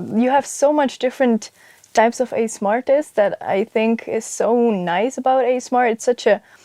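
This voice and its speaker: A woman with a Flemish accent talks at a fairly quick pace and high pitch, with ordinary pitch variation. The sound is dry and close with no echo. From Flanders, Belgium. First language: Dutch (Flemish). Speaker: ASMR content creator. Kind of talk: interview. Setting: studio.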